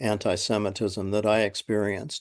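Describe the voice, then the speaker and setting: A man with a Californian accent at a fairly slow pace, against a quiet background. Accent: General American (Californian). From San Francisco, US West Coast. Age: 70s. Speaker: retired school psychologist. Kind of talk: oral history interview. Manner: halting, many fillers.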